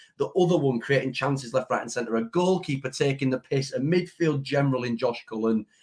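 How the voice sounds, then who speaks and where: This man's pitch sits fairly high and his voice is somewhat breathy. His pitch varies in an ordinary way. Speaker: football fan podcaster. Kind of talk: casual chat.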